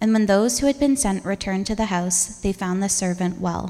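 A woman speaks at a medium pitch in an unremarkable speaking voice. Her pace is moderate. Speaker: church reader. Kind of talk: scripture reading. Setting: church.

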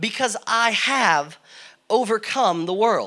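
A man's raised, projected voice with an American accent, bright and sharp in tone, with lively intonation. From Connecticut, US Northeast. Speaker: guest preacher. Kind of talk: sermon.

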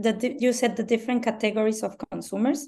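With a Mexican accent, a woman speaks in a fairly high pitch and a dark, mellow tone. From Mexico. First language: Spanish. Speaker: branding consultant. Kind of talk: interview. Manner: halting, many fillers.

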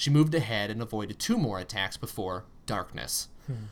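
The delivery is plain reading aloud. Its pitch rises and falls in a lively way.

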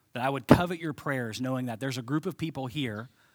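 A man speaks with a Midwestern American accent. His pitch sits in the medium range. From Ohio, Cincinnati. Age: 30s. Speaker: pastor. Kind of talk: sermon.

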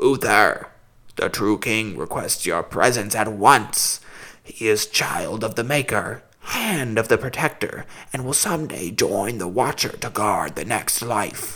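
Using a put-on character voice, a man speaks fairly slowly at a medium pitch with a raspy sound. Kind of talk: solemn proclamation. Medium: read story. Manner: formal, steady, commanding.

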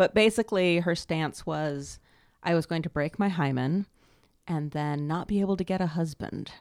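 An unremarkable speaking voice from a woman with an American accent, fairly low in pitch with ordinary pitch variation, the sound dry and close with no echo on a very clean recording with a silent background. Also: moderate pace. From US West Coast, Los Angeles. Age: 30s. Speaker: sex and intimacy coach, author. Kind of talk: casual interview.

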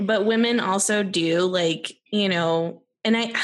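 With an American accent, a woman is speaking. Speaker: podcast co-host. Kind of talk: casual chat. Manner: animated.

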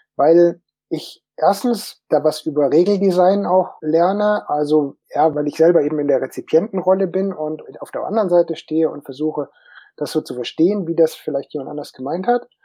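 A dark, mellow tone at a moderate pace with ordinary pitch variation, over a quiet background. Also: man, high pitch for a man. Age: 50s. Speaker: tabletop game designer. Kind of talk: panel discussion.

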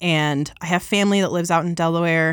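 A woman with an American accent speaks at a moderate pace in a plain, everyday voice, her fairly low pitch moving with ordinary variation on a very clean recording with a silent background. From Colorado. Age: 20s. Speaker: church worship team singer. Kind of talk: casual chat, faith testimony. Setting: studio.

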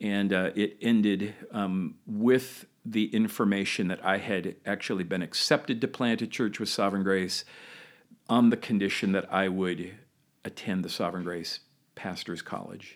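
An ordinary speaking voice from a man, fairly low-pitched with fairly even intonation at a moderate pace, on a very clean recording with a silent background. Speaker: founding senior pastor. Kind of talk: interview.

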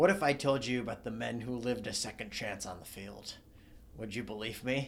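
A man speaks in a put-on character voice, raspy and at a medium pitch, with big swings in loudness, a fairly quick pace, and clear background noise. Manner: gruff, dramatic.

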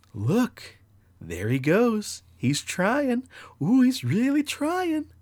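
In a put-on character voice, a man speaks at an extremely high pitch and a very slow pace. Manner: mocking, taunting.

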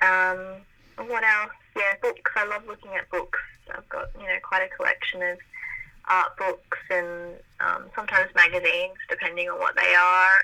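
A woman with an Australian accent speaks with long, frequent pauses. Her loudness swings widely. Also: moderate pace. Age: 20s. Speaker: graphic designer. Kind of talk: casual interview. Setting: remote call.

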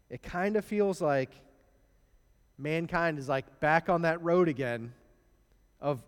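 In a very clean recording with a silent background, a man with a Midwestern US accent speaks at a moderate pace. His fairly high pitch has ordinary variation. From US Midwest. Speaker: preacher. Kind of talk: sermon. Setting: church. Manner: conversational, storytelling.

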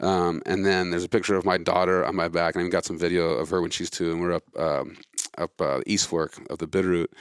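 A man with an American accent and a very deep, low pitch speaks at a very fast pace in a monotone, flat intonation. The recording is very clean, with a silent background and a dry, close sound with no echo. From Montana. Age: 40s. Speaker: conservation group leader. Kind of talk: casual interview. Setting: hotel lounge.

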